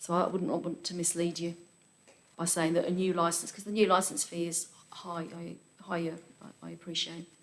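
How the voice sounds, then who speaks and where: A woman with a fairly low voice talks at a moderate pace in a flat monotone, her loudness swinging widely, with long, frequent pauses and audible room echo. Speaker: council licensing officer. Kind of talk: council committee debate. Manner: halting, repeats words.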